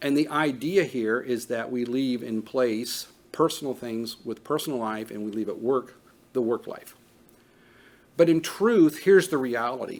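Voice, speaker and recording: A normal speaking voice from a man, medium in pitch, at a moderate pace. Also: ordinary pitch variation. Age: 50s. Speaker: trauma training instructor. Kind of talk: lecture. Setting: training room with live audience.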